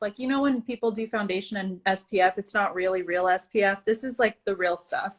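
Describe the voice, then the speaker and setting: A woman speaks at a fairly quick pace with an animated tone. Her pitch varies in an ordinary way. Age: 30s. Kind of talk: casual chat.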